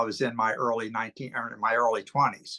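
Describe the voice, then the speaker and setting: Recorded dry and close with no echo against a quiet background, a man speaks at a moderate pace with a bright, sharp tone. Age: 60s. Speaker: wrestling card collector. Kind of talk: casual interview.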